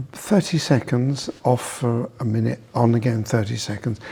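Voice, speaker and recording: There's a dark, mellow tone to this man's somewhat breathy voice. The rise and fall of his pitch is ordinary. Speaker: osteopath. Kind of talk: professional discussion.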